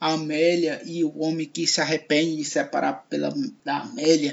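Fairly high in pitch, this man has an unremarkable speaking voice. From Ceará, Brazil (Fortaleza). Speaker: podcast host and comedian. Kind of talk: radio-style podcast monologue.

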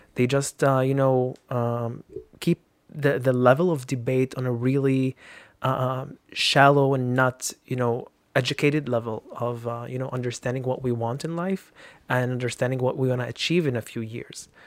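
A man speaks at a moderate pace in a medium pitch with an Arabic accent, his intonation fairly even. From Lebanon. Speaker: activist. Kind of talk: casual chat. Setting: studio. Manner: halting.

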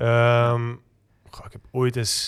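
This very clean recording with a silent background features a man speaking. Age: 20s. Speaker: poet and rock singer. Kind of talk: poetry reading. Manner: calm.

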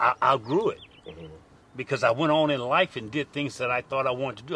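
Speaking with a Louisiana accent, a man uses a fairly high pitch with ordinary pitch variation. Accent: Louisiana Southern US. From US South, Lake Charles, Louisiana. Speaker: minister. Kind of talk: panel discussion.

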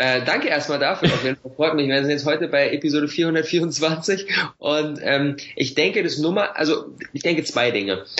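A man with an unremarkable speaking voice and fairly high pitch shows ordinary pitch variation. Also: moderate pace. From Berlin, Germany. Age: 20s. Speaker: online entrepreneur and YouTuber. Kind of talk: podcast interview. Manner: casual, filler-heavy.

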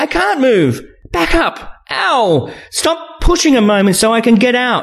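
Putting on a character voice, a man speaks at an extremely high pitch with big pitch swings, a fairly bright tone and a fairly slow pace.

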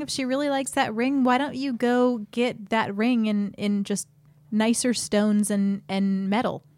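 A woman's fairly high voice, a plain, everyday voice, at a fairly slow pace with ordinary pitch variation. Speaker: podcast host. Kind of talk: casual banter, comedy advice show. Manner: bantering, joking.

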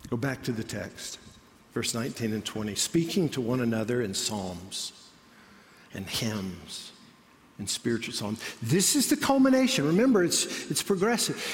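A man speaks at a fairly slow pace in a somewhat breathy, medium-pitched voice. His pitch swings very widely. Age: 30s. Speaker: pastor. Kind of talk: sermon. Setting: church auditorium.

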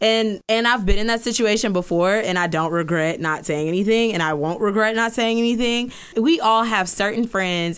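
Speaking at a fairly quick pace with hardly any pauses, a woman of medium pitch uses lively intonation over noticeable background noise. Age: 20s. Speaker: podcast host. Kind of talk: casual chat. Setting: studio.

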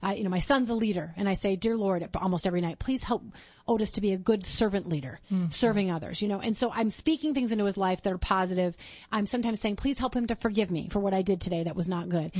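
Somewhat breathy and medium in pitch, a woman speaks at a very fast pace with ordinary pitch variation. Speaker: radio show guest, mom show host. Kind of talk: conversational, faith-based parenting advice. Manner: fast talker.

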